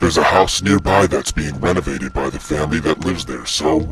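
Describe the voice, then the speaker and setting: Putting on a character voice, a man delivers his lines at a moderate pace. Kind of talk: horror narration. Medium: read story. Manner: slow, ominous.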